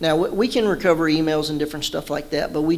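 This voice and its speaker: Talking at a very fast pace, a man with an American accent has a fairly high pitch. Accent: Texan (joked as northern Yankee). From Southeast Texas (Beaumont). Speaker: law enforcement officer. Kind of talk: talk to an audience. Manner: casual, many false starts.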